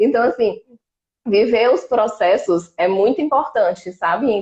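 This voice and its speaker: A woman's unremarkable speaking voice at a fairly slow pace, with lively intonation. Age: 30s. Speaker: exchange student-to-be. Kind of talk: live stream interview.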